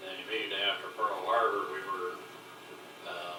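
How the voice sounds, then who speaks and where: A man speaks at a moderate pace with an American accent. Music plays in the background. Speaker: war veteran. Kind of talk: oral history interview. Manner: casual, reminiscing.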